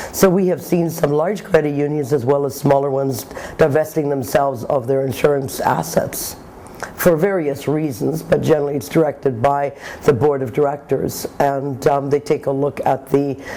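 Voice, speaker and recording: Audible room echo and noticeable background noise surround a woman whose very deep, low voice has fairly even intonation. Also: moderate pace. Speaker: insurance industry executive. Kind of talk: interview. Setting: conference.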